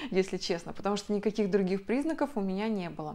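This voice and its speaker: At a fairly quick pace, a woman speaks with medium pitch and ordinary pitch variation. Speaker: video blogger. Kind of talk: personal story to camera. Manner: chatty. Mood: emotional personal birth story. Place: home room.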